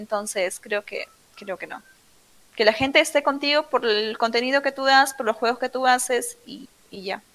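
A woman talks at a moderate pace with a high pitch, ordinary pitch variation and big swings in loudness. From Peru, Trujillo. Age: 20s. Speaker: streamer. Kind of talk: interview.

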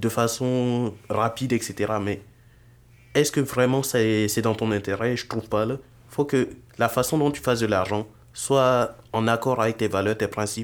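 A man at a medium pitch and a very slow pace, with fairly even intonation. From Burkina Faso. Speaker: software engineering student and entrepreneur. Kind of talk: casual interview.

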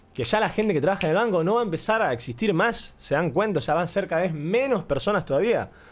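With an Argentine accent, a man talks at a very fast pace with hardly any pauses, using a high pitch, lively intonation, an animated tone and very even loudness. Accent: Rioplatense Argentine Spanish. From Argentina, Buenos Aires area. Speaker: podcaster. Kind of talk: casual monologue.

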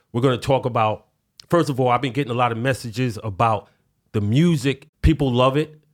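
Over a silent background on a very clean recording, a man with a New York accent talks in an animated tone. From New York City. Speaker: podcast host. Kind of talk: casual solo commentary. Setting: studio with some echo. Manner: animated, street slang.

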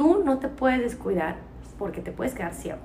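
With audible room echo around her, a woman talks in a Mexican accent. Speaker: podcast host. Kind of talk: casual chat.

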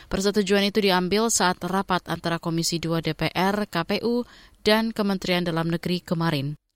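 A woman speaks in a plain, everyday voice at a medium pitch. The recording is very clean and dry, close with no echo and a silent background. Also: fairly even intonation, moderate pace. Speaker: news anchor. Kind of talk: news reading, bulletin anchor reading with a steady, formal newsreader delivery. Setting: studio. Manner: formal, even-paced, clear and measured.

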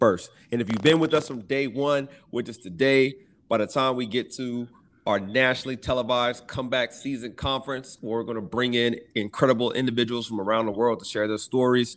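Man with an American accent, medium-pitched and fairly even in intonation, at a fairly quick pace on a very clean recording over a silent background. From US South, rural Arkansas. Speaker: physical therapist. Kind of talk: casual chat.

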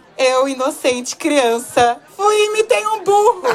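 Amid noticeable background noise, a woman's voice moves through very wide pitch swings. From Brazil (Salvador / São Paulo). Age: 20s. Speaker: podcast guest. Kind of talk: casual chat.

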